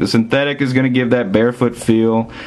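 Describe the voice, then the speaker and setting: A man speaks in a Southern US accent at medium pitch. Noticeable background noise is present. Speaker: soccer gear reviewer. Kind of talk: product review. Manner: casual, with frequent fillers.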